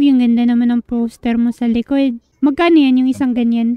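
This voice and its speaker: A woman's high, dark, mellow voice at a fairly quick pace, flat and monotone, in dry, close sound with no echo. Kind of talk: casual, colloquial.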